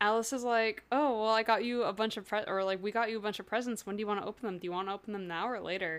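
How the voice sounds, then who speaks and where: A woman with a fairly high pitch and an animated tone rushes along at a very fast pace with hardly any pauses. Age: 20s. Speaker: podcast co-host, classical musician. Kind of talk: casual chat, book discussion podcast. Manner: animated, laughs often.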